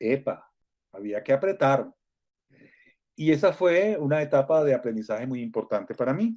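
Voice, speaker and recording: This man's voice has a dark, mellow tone and a fairly high pitch. It moves in very wide pitch swings. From Venezuela. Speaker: Venezuelan radio broadcaster, now living in Mexico. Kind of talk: interview answer, recalling his radio career.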